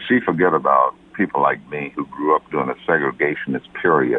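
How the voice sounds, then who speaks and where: A man speaks at a moderate pace with a Southern US accent. Noticeable background noise can be heard. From US Deep South. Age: 70s. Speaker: caller. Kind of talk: phone-in call.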